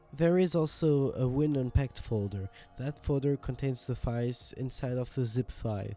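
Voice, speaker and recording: A man's medium-pitched voice comes through with music playing behind him. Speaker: game engine contributor. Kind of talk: software tutorial narration.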